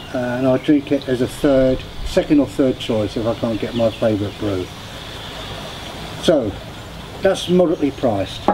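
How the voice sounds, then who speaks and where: A man with a British accent, lively intonation and a moderate pace, with long, frequent pauses and noticeable background noise. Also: medium pitch for a man. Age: 70s. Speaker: beer reviewer, vlogger. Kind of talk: casual product review. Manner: halting with fillers.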